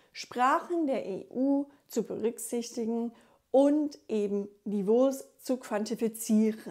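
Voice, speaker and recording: At a very slow pace, a woman with a high pitch and a dark, mellow tone speaks in an English accent with ordinary pitch variation, recorded very cleanly against a silent background. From USA. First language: English (speaking German). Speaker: German teacher and linguist. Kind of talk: tutorial.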